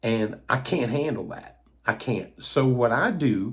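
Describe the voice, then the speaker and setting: Speaking with an Appalachian accent, a man has a medium pitch and a somewhat breathy voice. His pace is fairly slow and his pitch variation ordinary. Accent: Appalachian Kentucky. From US South, Eastern Kentucky. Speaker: toy collector YouTuber. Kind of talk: casual monologue. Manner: hesitant, many fillers.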